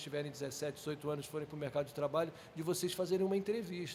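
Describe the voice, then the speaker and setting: This man's voice is high in pitch. The intonation remains fairly even. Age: 60s. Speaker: sports project manager, former volleyball player. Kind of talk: podcast interview.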